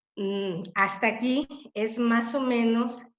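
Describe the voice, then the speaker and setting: A woman with a fairly high voice speaks in a room with audible echo. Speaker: webinar speaker, teacher. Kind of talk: webinar talk.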